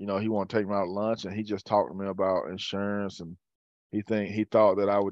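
In a Southern US accent, the voice rattles along at a very fast pace with monotone, flat intonation. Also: man. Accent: Southern US (Georgia). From US South, rural Georgia (south of Atlanta). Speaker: former college football player. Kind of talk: casual chat. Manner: halting, many fillers and repeats.

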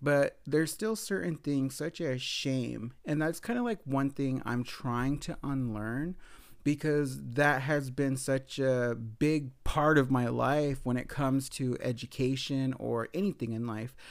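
An unremarkable speaking voice from a man, medium in pitch with ordinary variation, fairly slow yet with hardly any pauses, on a very clean recording with a silent background. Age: 30s. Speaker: podcaster and grad student. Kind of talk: casual solo storytelling.

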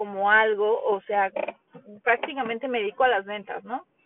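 A woman speaks at a moderate pace. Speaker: podcast host. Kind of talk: solo monologue. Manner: conversational, many fillers.

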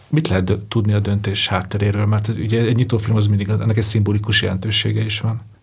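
Against noticeable background noise, a man with a fairly low pitch rattles along at a very fast pace in monotone, flat intonation with hardly any pauses. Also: very even loudness. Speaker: podcast host, journalist. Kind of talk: interview conversation.

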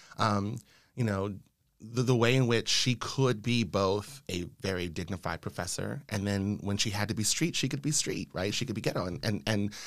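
A man talks in a normal speaking voice with an American accent, a fairly low pitch and ordinary pitch variation. His pace is moderate, and the recording is very clean with a silent background. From Los Angeles, California (South LA). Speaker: sociology professor. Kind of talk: interview conversation.

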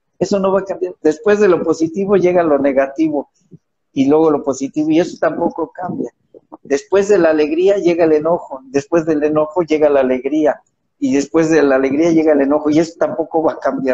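A man's fairly high voice with a Mexican accent, at a fairly quick pace, with ordinary pitch variation and very even loudness. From Mexico. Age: 60s. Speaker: author and motivational speaker. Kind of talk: interview about his book.

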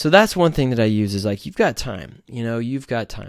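On a very clean recording with a silent background, a man at a medium pitch talks at a fairly quick pace with very wide pitch swings. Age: 30s. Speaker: podcast host. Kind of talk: solo monologue. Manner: casual, hesitant with many fillers.

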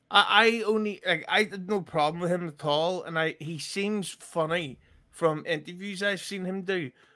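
A man speaks in a raised, projected voice, high in pitch with a bright, sharp tone. His pace is moderate and his intonation fairly even, on a very clean recording with a silent background. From UK. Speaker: comedian podcaster guest. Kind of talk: casual banter.

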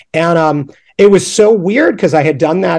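A man with an American accent, high-pitched, at a moderate pace. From upstate New York. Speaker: punk rock artist and illustrator. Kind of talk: casual chat.

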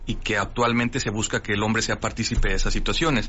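Noticeable background noise sits behind the speech. The man's intonation stays fairly even. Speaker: urologist surgeon. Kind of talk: radio interview. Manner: halting.

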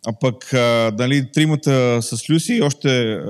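A man speaks in an ordinary speaking voice at a medium pitch with fairly even intonation. The recording is very clean with a silent background. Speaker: church interpreter. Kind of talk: interpreted sermon. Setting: church.

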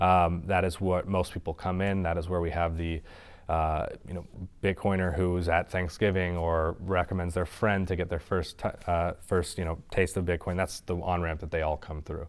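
A man speaks at a moderate pace in a very deep, low voice with flat, monotone intonation. The recording is very clean, with a silent background. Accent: Californian. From northern California, Sonoma Valley. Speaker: startup founder and CEO. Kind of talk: meetup talk with Q and A.

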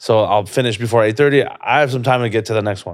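A man speaks very fast with an animated tone, medium pitch and ordinary pitch variation. The recording is very clean, with a silent background. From Canada, Toronto. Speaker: comedian. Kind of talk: casual chat.

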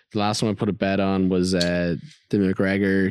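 The recording is very clean, with a silent background. A man speaks at a fairly low pitch in an Irish accent with monotone, flat intonation. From Ireland. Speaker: podcast host. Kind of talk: casual chat. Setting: studio.

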